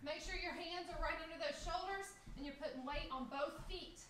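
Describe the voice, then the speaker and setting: A woman talks at a fairly quick pace with ordinary pitch variation. Noticeable background noise and audible room echo come through. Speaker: fitness instructor. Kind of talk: live group workout coaching, shouted interval cues. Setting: video call livestream. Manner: high-energy, pushing and urging; upbeat, laughing banter with co-coach. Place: home room. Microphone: camera far.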